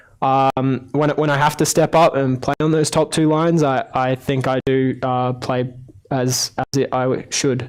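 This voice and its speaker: Fairly slow and in a monotone, flat intonation, a man with a medium pitch speaks. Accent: Australian. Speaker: ice hockey player. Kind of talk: interview. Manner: halting, many fillers.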